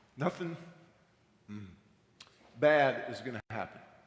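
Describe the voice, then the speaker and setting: In a room with audible echo, a man speaks at a fairly quick pace in a fairly high voice. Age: 60s. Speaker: astronaut. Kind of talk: testimony. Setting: church.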